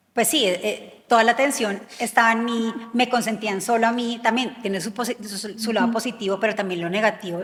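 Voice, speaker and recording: Over noticeable background noise, a woman speaks at a moderate pace with fairly high pitch and fairly even intonation. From Colombia. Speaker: former actress, prison reform activist. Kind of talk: interview answer.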